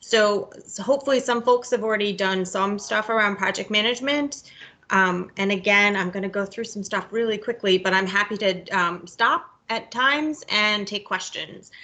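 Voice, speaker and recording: A woman speaks with hardly any pauses in a bright, sharp tone. Her pitch is medium, with ordinary variation. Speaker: project manager. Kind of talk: webinar presentation. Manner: fast; hesitant, many filler words.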